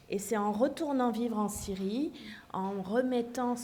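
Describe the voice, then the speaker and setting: Amid audible room echo, a woman talks at a fairly slow pace with fairly even intonation. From Syria, childhood partly in Paris and abroad. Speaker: author. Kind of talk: panel discussion.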